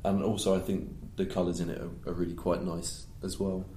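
A man with a southern English accent speaks fairly quickly in a very deep, low pitch, somewhat breathy, with a dark, mellow tone. Room echo is audible. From southern England (West Sussex). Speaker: gig photographer. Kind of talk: casual chat.

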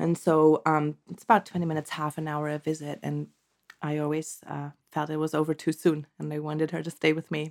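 A woman speaks with a German accent and a very deep, low pitch. Her intonation is monotone and flat. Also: fairly quick pace. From Germany. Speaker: postpartum doula. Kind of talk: interview. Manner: hesitant, many fillers.

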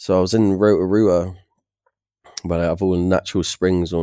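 A man with a West Country accent speaks in a very deep, low pitch and a dark, mellow tone, the sound dry and close with no echo. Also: very clean recording, silent background. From England, South Devon (Torquay). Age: 20s. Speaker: traveller, expat. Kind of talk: casual chat.

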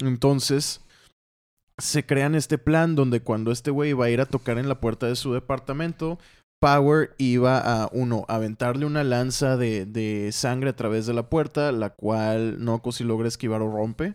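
In a normal speaking voice, a man talks at medium pitch and moderate pace with fairly even intonation, the sound dry and close with no echo and the recording very clean over a silent background. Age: 20s. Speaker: comic colorist and co-host. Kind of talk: casual chat.

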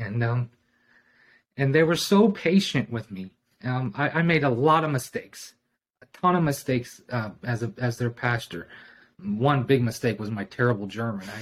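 Lively in intonation, a man speaks at medium pitch and a moderate pace in a plain, everyday voice. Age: 40s. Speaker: former missionary. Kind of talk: casual interview.

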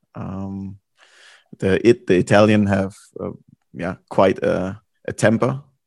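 Speaking very slowly with long, frequent pauses, a man with a fairly low pitch keeps his intonation fairly even while his loudness swings widely. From Germany. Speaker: podcast host, former footballer. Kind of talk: casual interview. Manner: calm.

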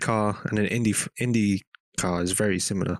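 Speaking in an English accent, a man keeps his voice at a medium pitch. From England. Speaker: race mechanic. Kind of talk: casual chat.

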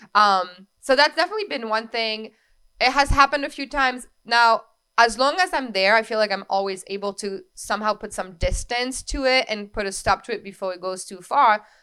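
A woman's fairly high, bright and sharp voice at a fairly quick pace, with big swings in loudness. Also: ordinary pitch variation. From France. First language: French. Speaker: wedding coordinator. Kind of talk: casual interview podcast.

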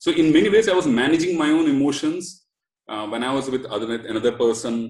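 Intonation lively, a man races through his words at a very fast pace. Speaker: startup co-founder. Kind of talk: casual chat.

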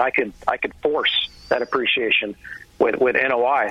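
Noticeable background noise runs under a man talking in an American accent. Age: 40s. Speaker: real estate investor. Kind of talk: interview.

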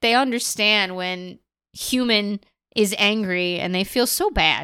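A woman with an American accent speaks at medium pitch in a bright, sharp tone. The recording is very clean, with a silent background. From rural US Midwest, Illinois. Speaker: podcast co-host. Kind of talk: casual chat.

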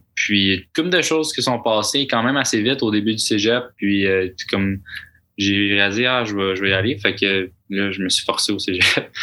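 A man speaks in a plain, everyday voice, fairly low in pitch and moving at a moderate pace. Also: ordinary pitch variation. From Quebec. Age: 20s. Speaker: university golfer and medical student. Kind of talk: casual interview. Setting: studio.

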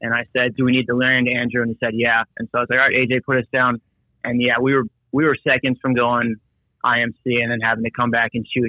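A man talks at a very fast pace with a medium pitch, monotone, flat intonation and very even loudness. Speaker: helicopter pilot. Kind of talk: casual chat. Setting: phone call.

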